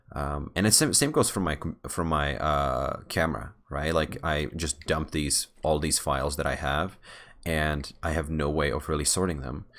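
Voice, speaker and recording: A man's very deep, low voice with vocal fry, fairly even intonation and a moderate pace, on a very clean recording with a silent background. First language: Czech. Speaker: software developer vlogger. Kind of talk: casual vlog while gaming. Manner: halting, many fillers and restarts.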